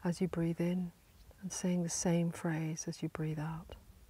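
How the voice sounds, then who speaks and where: The voice has a gentle, calm tone and moves at a very slow pace. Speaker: meditation teacher. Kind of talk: guided meditation. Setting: outdoors, inside a stone circle on a hillside. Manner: slow, calm, soothing; gentle, with long pauses.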